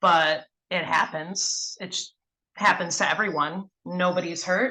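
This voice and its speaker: A woman speaks with a Wisconsin accent. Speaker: mentorship program participant. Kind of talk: casual group discussion. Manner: halting, many fillers.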